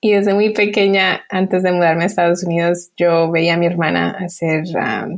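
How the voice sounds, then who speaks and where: A woman speaks at a moderate pace with a fairly low pitch, hardly any pauses, very even loudness and fairly even intonation. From Colombia, then US from age 8. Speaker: emoji designer. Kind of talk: interview.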